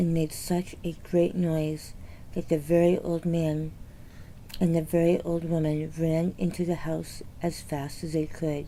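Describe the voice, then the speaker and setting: A woman whispers at a fairly slow pace. Her tone is soothing. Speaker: children's book reader. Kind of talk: reading aloud. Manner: soothing, ASMR-like without whisper.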